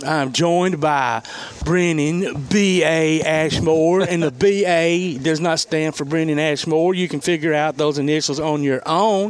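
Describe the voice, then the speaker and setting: Speaking with a Southern US accent, a man uses a fairly high pitch and fairly even intonation. His pace is fairly slow, with noticeable background noise. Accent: Southern, country. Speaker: sports radio show host. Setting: on location at a restaurant. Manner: casual, folksy.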